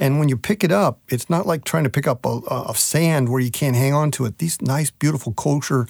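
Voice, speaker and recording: This is a man with a fairly high pitch. He uses ordinary pitch variation at a moderate pace. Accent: Midwestern US. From Nebraska. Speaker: meat science specialist. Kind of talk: interview.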